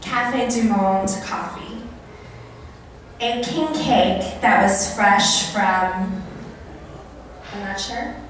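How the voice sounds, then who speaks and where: A woman talks at a very slow pace, with long, frequent pauses and big swings in loudness. Strong room echo and light background noise surround her voice. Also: ordinary pitch variation. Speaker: food entrepreneur and event host; event host. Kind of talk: live storytelling monologue. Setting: live event, country club. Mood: warm, playful. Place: hall.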